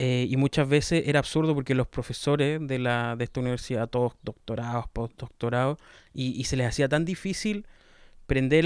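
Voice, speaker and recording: With a Chilean accent, a man speaks at a moderate pace in a fairly high pitch and fairly even intonation, on a very clean recording with a silent background and a dry, close sound with no echo. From southern Chile, Los Ríos region. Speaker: podcaster. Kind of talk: casual monologue. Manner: relaxed.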